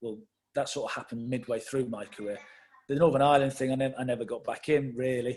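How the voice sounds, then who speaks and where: A man with an English accent speaks at a very fast pace, his medium pitch held to fairly even intonation. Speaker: football manager. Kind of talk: interview.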